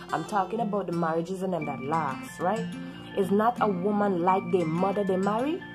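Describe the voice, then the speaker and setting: A woman with a Caribbean accent at a medium pitch, fairly quick in pace with ordinary pitch variation, over music in the background. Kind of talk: casual talk to camera.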